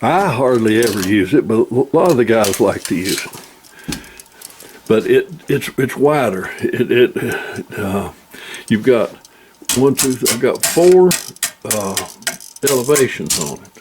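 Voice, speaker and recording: Against noticeable background noise, a man speaks at a very slow pace with long, frequent pauses and big swings in loudness. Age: 80s+. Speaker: outdoorsman demonstrating shooting rests. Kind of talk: tutorial. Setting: at the farm.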